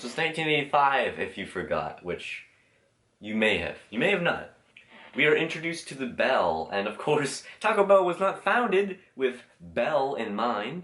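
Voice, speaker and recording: Pitch swings very widely, with vocal fry running through the voice. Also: man, fairly high pitch for a man, moderate pace, big swings in loudness. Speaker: YouTuber reviewing logos. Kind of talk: casual commentary video.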